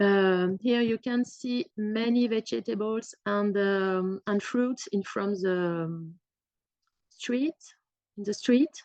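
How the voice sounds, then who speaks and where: Speaking at a very slow pace, a woman uses ordinary pitch variation in a dry, close sound with no echo. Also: medium pitch for a woman. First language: French. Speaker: museum staff member giving a talk. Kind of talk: presentation. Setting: talk to live audience and on Zoom. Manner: halting, many fillers.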